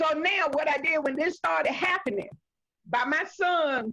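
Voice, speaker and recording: This woman's raised, projected voice is high in pitch, with a bright, sharp tone. She sounds animated while keeping a fairly slow pace. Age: 60s. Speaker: community member, mother. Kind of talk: community discussion on video call.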